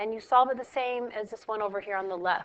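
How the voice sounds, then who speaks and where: Woman's fairly high voice, an unremarkable speaking voice with ordinary pitch variation. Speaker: math teacher. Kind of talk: tutorial. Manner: casual.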